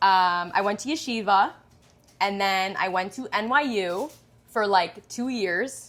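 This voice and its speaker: With a strong Long Island accent, a woman speaks on a very clean recording against a silent background. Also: medium pitch for a woman, ordinary pitch variation, fairly slow pace. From Long Island, New York. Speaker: pastry chef and baker. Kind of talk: casual interview chat.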